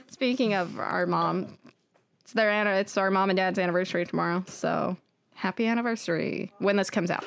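Speaking at a fairly quick pace, a woman has an unremarkable speaking voice of medium pitch and fairly even intonation. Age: 20s. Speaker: podcast co-host. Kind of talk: casual chat.

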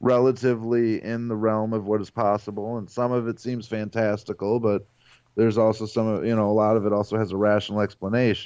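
Against a quiet background, a man with a Midwestern American accent talks fairly quickly in a fairly low voice. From US Midwest, Ohio (Cleveland area). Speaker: novelist and podcast host. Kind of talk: interview.

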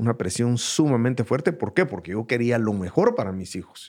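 A man speaks at a medium pitch with lively intonation, recorded very cleanly against a silent background. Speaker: host's father, entrepreneur. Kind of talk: casual chat. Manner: halting, many repetitions.

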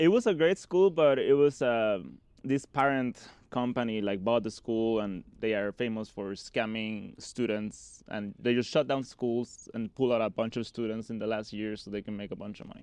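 A man with a Spanish accent, medium pitch, hardly any pauses, quiet background. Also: ordinary pitch variation, moderate pace. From Mexico (Mexico City area, Cabo San Lucas). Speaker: visionary artist and shamanic practitioner. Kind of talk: casual chat. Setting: at home.

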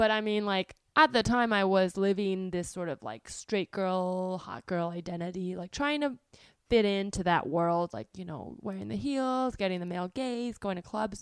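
A woman with an American accent speaks at medium pitch and a moderate pace, using lively intonation and big swings in loudness, on a very clean recording with a silent background and a dry, close sound with no echo. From US West Coast, Bay Area. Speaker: podcast host and comedian. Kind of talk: solo monologue. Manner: rambling, casual with filler words; laughs often.

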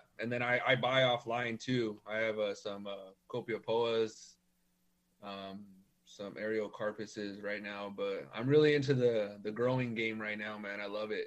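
Talking at a fairly slow pace, a man with a plain, everyday voice and fairly low pitch keeps his intonation fairly even. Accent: American. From Norwalk, Los Angeles County, California. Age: 30s. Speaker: cactus collector. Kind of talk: casual chat.

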